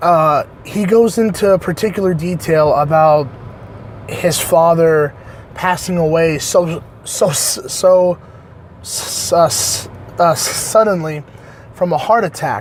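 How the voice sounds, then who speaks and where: A high-pitched man speaks at a very slow pace with ordinary pitch variation, leaving long, frequent pauses. Noticeable background noise runs behind him. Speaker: online reviewer. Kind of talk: casual review monologue. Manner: halting, many fillers.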